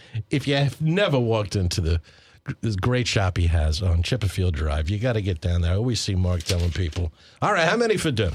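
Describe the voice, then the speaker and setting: Very deep and low in pitch, a man with an American accent talks at a very fast pace with lively intonation. He sounds somewhat breathy, and his loudness stays very even. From Long Island, New York (Suffolk County). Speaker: radio host. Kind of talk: radio interview.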